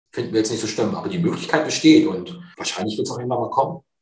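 A man speaks with audible room echo. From northern Germany, near Cuxhaven. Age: 50s. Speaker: fund sales executive. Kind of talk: interview.

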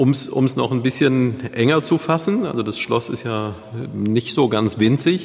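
A man with a medium pitch talks at a fairly slow pace over noticeable background noise. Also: ordinary pitch variation. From Neuwied, Rhineland, Germany. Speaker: podcast host. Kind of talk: interview.

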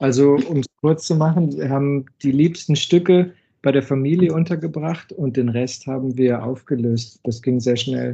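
A man's fairly high voice, somewhat breathy, with fairly even intonation. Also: moderate pace. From Germany, Düsseldorf area. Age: 30s. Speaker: wood engineer living abroad. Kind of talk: interview. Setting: phone call. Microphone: phone line.

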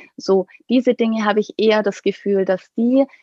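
At a fairly slow pace, a woman speaks in a normal speaking voice with fairly even intonation, the sound dry and close with no echo. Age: 30s. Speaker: pediatrician and coach for doctors. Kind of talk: interview conversation.

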